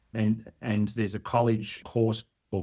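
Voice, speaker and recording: This man talks with a slight Australian accent. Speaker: workforce development expert. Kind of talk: podcast interview.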